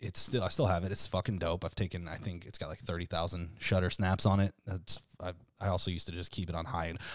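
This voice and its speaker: A man races along at a very fast pace in a very clean recording against a silent background. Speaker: podcast host. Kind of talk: casual chat. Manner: casual, joking, profane.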